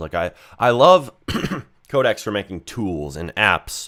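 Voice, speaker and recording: A man puts on a raspy character voice at a fairly low pitch and a fairly slow pace. His pitch swings very widely, and his loudness rises and falls sharply. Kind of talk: casual, conversational.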